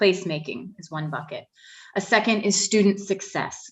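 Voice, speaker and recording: Here a woman has an unremarkable speaking voice at a medium pitch. She moves at a moderate pace with ordinary pitch variation. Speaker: facilities planning consultant. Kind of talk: presentation to a board.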